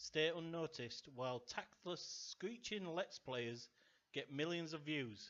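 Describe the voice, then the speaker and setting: A man with a Yorkshire accent talks at a fairly slow pace. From Yorkshire, northern England. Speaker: gaming YouTuber. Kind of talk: casual Q&A while gaming. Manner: halting, many fillers; calm.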